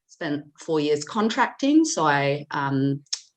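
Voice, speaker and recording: The woman's pitch is very deep and low, and she speaks with an Australian accent. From Australia, Sydney. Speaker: data governance specialist and founder. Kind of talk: podcast interview.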